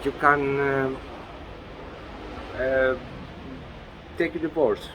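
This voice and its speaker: A man speaks very slowly at a fairly high pitch, in a monotone, flat intonation. Noticeable background noise runs underneath. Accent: Greek. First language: Greek. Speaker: interviewee, husband and father. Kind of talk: interview. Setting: outdoors. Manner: halting.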